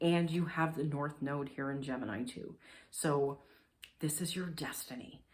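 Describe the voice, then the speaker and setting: A woman speaks in a very deep, low pitch at a moderate pace. Her pitch variation is ordinary. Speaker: astrologer. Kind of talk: horoscope reading. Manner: casual, filler-heavy (like, um); animated.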